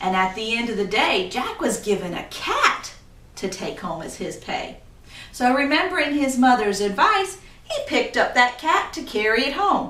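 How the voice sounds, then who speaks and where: The speech moves at a moderate pace with very wide pitch swings over noticeable background noise. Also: woman, high pitch for a woman. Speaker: storyteller, graduate student. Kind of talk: folk tale storytelling with dialogue voices.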